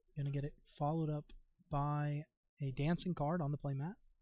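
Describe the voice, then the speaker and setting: A somewhat breathy man's voice at a fairly high pitch, in a dry, close sound with no echo. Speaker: card game tournament commentator. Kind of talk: live commentary. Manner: casual.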